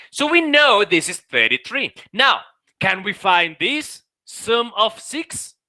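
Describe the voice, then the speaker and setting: A man's extremely high, raised and projected voice has an animated, bright, sharp tone and lively intonation. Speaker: math teacher. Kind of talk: online class lecture.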